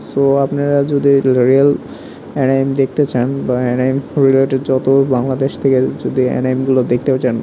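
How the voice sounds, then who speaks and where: Amid noticeable background noise, a man with a medium pitch speaks in a monotone with flat intonation and very even loudness. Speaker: anime YouTuber. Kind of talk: casual talk to camera. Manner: chatty, informal.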